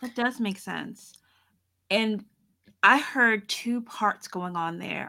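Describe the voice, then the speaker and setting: Over a silent background on a very clean recording, a woman with a bright, sharp tone talks at a very slow pace. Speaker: podcast co-host and writer. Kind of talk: casual chat, interview.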